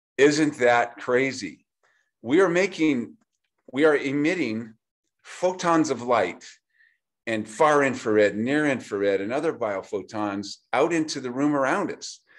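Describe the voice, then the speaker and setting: A man in a normal speaking voice, medium-pitched and fairly slow, with lively intonation against a quiet background. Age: 60s. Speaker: chiropractor. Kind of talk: product explanation talk.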